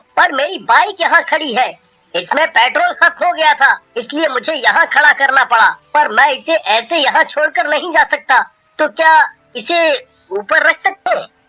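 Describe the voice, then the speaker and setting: Over music in the background, a woman performs a cartoonish character voice at a moderate pace. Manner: nervous, stammering.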